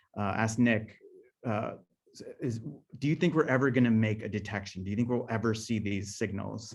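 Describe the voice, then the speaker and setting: The speaker goes at a fairly quick pace with ordinary pitch variation, leaving long, frequent pauses, and there is audible room echo. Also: man, medium pitch for a man. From Southern California. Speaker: scientist and guest speaker. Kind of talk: lecture. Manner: fast; halting, many fillers and restarts.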